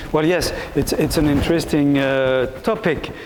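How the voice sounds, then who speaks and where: With a French accent, a man speaks at a fairly slow pace in a fairly high pitch, with audible room echo and noticeable background noise. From Belgium. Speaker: philosophy professor. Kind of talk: Q&A answer after a lecture. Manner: halting.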